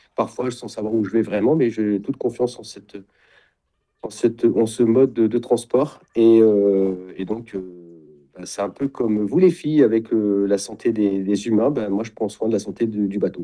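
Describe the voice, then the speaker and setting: Using a dark, mellow tone, a man speaks at a fairly slow pace and a fairly low pitch. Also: ordinary pitch variation. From Champagne-Ardenne, France. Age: 50s. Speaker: sailing wellness retreat founder. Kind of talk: interview. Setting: video call.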